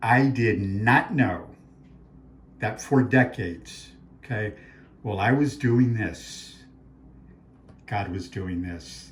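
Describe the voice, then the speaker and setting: A man's somewhat breathy, fairly low voice in an American accent at a very slow pace, with ordinary pitch variation, long, frequent pauses and audible room echo. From Arizona. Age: 60s. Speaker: author and faith speaker. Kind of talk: talk promoting his books. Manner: animated.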